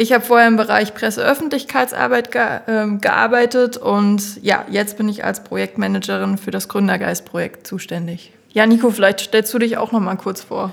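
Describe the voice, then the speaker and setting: With noticeable background noise, a woman talks at a moderate pace and a fairly high pitch, with ordinary pitch variation and hardly any pauses. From Thuringia, Germany. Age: 20s. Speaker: project manager, former PR worker. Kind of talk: casual podcast chat.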